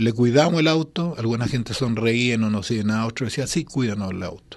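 A man's fairly slow speech with ordinary pitch variation against a quiet background. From Chile (Santiago); Chile. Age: 60s. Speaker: singer-songwriter; guest. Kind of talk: interview. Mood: relaxed, nostalgic, smiling. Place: studio. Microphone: studio mic.

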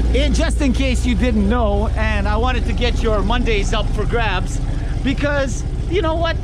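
A man at a fairly slow pace, in a dry sound with no echo, over loud background noise. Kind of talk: casual vlog chat. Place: street. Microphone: phone near.

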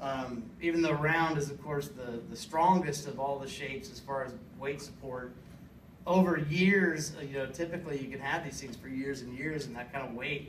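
At a moderate pace, a man speaks with big swings in loudness, with light background noise and audible room echo. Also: ordinary pitch variation. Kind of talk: informative class speech. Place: classroom.

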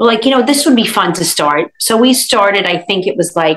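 A woman with an American accent at a moderate pace, with lively intonation and a quiet background. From Brooklyn, New York; New York. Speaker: food blogger. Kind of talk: interview answer. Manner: casual, conversational. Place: kitchen. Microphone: video call.

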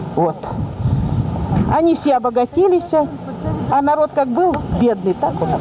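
Noticeable background noise runs under a woman talking at a moderate pace. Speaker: pensioner selling dairy products. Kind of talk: street interview answer. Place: street. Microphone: handheld.

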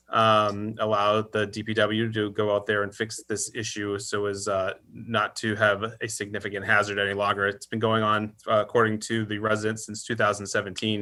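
Fast-ish and flat, a man with an American accent talks at a fairly quick pace in a bright, sharp tone with monotone intonation and fairly low pitch, in a very clean recording with a silent background. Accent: Worcester accent, comes back when late. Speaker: town administrator. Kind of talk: public meeting discussion. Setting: virtual meeting.

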